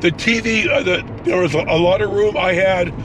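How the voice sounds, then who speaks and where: A man speaks in a high-pitched voice over noticeable background noise. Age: 60s. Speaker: travel vlogger. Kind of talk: casual vlog monologue while driving. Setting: in a car. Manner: halting, many fillers.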